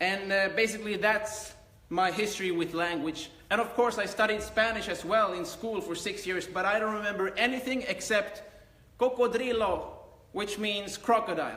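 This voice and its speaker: In a raised, projected voice with a Finnish accent, the speaker talks at a moderate pace with fairly even intonation, amid noticeable background noise and audible room echo. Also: man, high pitch for a man. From Sweden. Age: 20s. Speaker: karate instructor. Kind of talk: live Q&A. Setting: live stream on laptop.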